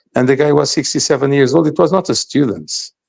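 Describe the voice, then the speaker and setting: A man with a Portuguese accent speaks at a fairly high pitch for a man, his voice showing vocal fry. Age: 60s. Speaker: podcast guest commentator. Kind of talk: podcast discussion. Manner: halting, with frequent repetitions.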